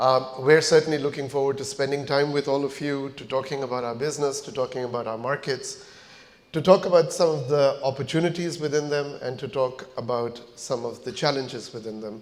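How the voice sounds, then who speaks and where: A plain, everyday voice from a man, fairly high in pitch, at a fairly quick pace, with fairly even intonation and big swings in loudness. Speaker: company founder and chief executive giving a keynote. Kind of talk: corporate conference keynote speech.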